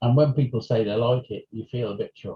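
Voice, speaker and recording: Somewhat breathy, a man speaks in a dark, mellow tone at a moderate pace. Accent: British. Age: 60s. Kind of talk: interview. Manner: halting.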